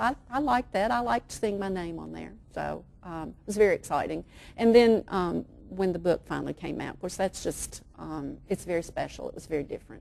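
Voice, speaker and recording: A woman with an East Tennessee accent talks at a fairly quick pace, her loudness swinging widely. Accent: Southern US (East Tennessee). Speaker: children's author. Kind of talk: interview answer.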